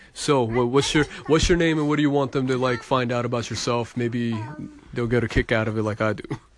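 Over noticeable background noise, a man talks at a fairly quick pace and medium pitch with fairly even intonation. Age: 30s. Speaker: podcast host. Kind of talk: casual chat. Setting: at a family party.

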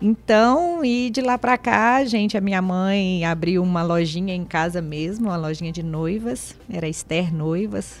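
Woman's medium-pitched voice at a fairly slow pace, hardly any pauses and ordinary pitch variation, with music in the background. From Castanhal, Pará, Brazil (born in Minas Gerais). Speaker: municipal secretary. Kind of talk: radio interview.

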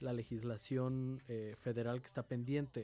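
A man talks at a moderate pace with medium pitch. He has a plain, everyday voice. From Mexico City. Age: 30s. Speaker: politician. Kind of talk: radio interview.

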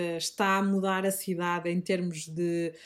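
On a very clean recording with a silent background, a woman speaks with a Minho accent. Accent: Minho (northern Portuguese). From northern Portugal, Minho (Braga district). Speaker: teacher and organic grocery shop owner. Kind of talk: interview. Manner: hesitant, with fillers and repetitions.

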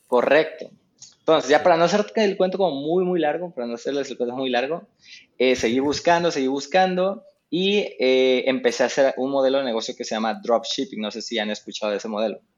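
The man has an unremarkable speaking voice, pitched fairly high. His intonation is lively, and his pace is fairly quick. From Mexico. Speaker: digital marketing expert. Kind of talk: casual interview. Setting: remote call.

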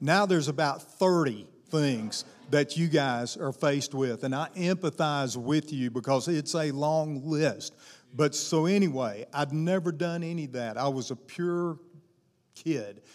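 In a Southern US accent, a man talks at a fairly high pitch with ordinary pitch variation. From US South, Arkansas. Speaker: guest pastor. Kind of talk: sermon. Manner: animated.

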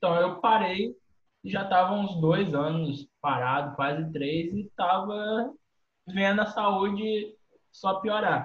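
A man talks very slowly, his pitch high and its variation ordinary. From Minas Gerais, Brazil. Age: 20s. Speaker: adaptive CrossFit athlete, wheelchair user. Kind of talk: casual chat.

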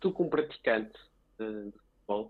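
A man with a European Portuguese accent speaks at a moderate pace. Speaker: podcast co-host. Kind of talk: interview.

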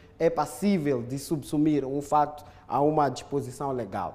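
The man's tone is dark and mellow. His pitch sits fairly high, with ordinary pitch variation. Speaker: legal expert. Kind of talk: studio commentary. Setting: studio.

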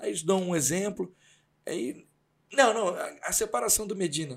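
Recorded very cleanly against a silent background, a man speaks with a high pitch. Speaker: podcast host, journalism background. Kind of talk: casual chat.

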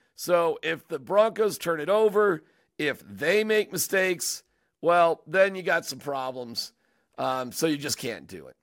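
A man with an American accent talks at a fairly slow pace. His pitch is high and his loudness swings widely. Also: lively intonation, very clean recording, silent background. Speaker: sports podcast host. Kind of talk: casual chat. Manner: animated.

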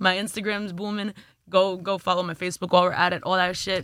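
Bright, sharp female voice in a monotone, flat intonation, on a very clean recording with a silent background. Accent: New York. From Brooklyn, New York (Flatbush). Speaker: music artist and content creator. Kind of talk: casual chat.

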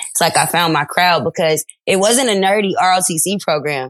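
Against a quiet background, a woman with a normal speaking voice talks at a moderate pace, her fairly low pitch kept fairly even. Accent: American. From Detroit, Michigan. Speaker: teacher and social media creator. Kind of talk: interview testimony.

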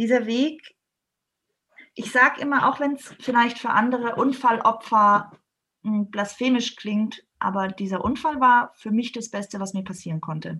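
Speaking at a fairly slow pace, a woman has a fairly high pitch and a bright, sharp tone. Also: ordinary pitch variation. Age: 30s. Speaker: yoga trainer. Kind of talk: interview.

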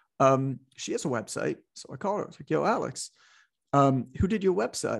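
A man with vocal fry and lively intonation at a fairly quick pace, against a quiet background. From Canada, suburban Toronto. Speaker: fitness business educator and author. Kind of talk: interview.

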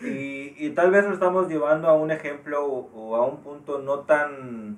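A man's fairly high-pitched voice. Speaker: podcast co-host. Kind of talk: casual chat.

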